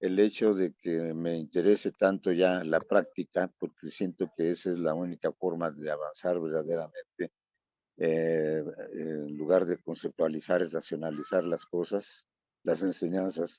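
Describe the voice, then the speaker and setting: A man talks at a fairly slow pace in a very deep, low voice. His intonation stays monotone and flat. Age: 80s+. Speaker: meditation group participant. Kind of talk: casual group discussion.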